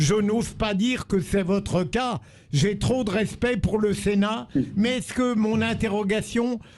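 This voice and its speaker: A high-pitched man at a very slow pace, with ordinary pitch variation and very even loudness. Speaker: radio panelist, commentator. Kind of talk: radio debate question.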